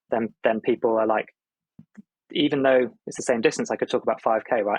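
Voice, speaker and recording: A man with a British accent, medium pitch, fairly quick pace and fairly even intonation, in a dry, close sound with no echo. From UK. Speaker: Olympic runner and running video presenter. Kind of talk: podcast interview. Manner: hesitant, many repeated words.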